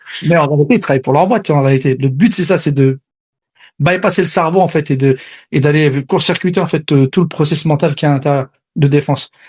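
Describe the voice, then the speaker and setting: At a very fast pace, a man with a fairly high, somewhat breathy voice talks with ordinary pitch variation and very even loudness. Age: 40s. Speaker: sales coach. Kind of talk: interview.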